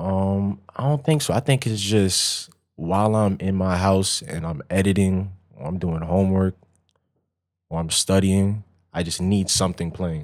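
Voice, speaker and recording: In a very clean recording with a silent background, the speaker uses a New York accent at a fairly slow pace with ordinary pitch variation. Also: man, very deep, low pitch for a man. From Long Island, New York. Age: 20s. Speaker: photographer. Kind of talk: casual chat.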